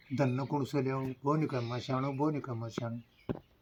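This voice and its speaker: A man at a medium pitch speaks in a monotone with flat intonation. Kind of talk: folk tale told to a listener.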